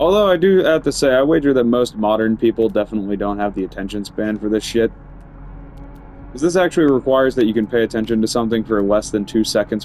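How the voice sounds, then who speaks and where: Music plays in the background as a man talks at a very fast pace. His medium pitch shows ordinary pitch variation. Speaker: gaming streamer. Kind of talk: gameplay commentary. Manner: casual, animated.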